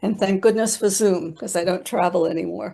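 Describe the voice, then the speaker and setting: In a quiet background, a woman speaks at a medium pitch with a dark, mellow tone and ordinary pitch variation. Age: 80s+. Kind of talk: conference presentation. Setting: video call. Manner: conversational, with frequent fillers.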